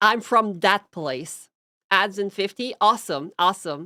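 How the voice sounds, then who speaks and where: A woman with a Quebec accent speaks at a fairly slow pace in a bright, sharp tone, recorded very cleanly with a silent background and a dry, close sound with no echo. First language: French. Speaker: streamer. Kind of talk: casual chat; reading aloud. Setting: live stream.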